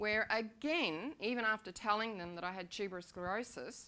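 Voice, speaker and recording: A bright, sharp tone in an Australian accent, with fairly even intonation. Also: woman. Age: 60s. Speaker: patient sharing her illness story. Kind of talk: testimony. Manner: unscripted, with hesitations.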